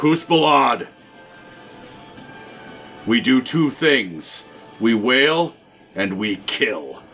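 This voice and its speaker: A man speaks in a put-on character voice at a medium pitch and a very slow pace. Faint music plays in the background. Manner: fierce, shouting.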